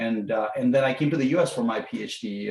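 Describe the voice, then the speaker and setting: This man's speech shows ordinary pitch variation. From India, Raipur (Chhattisgarh). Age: 50s. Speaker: professor. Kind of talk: talk. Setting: video call. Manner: halting, many fillers.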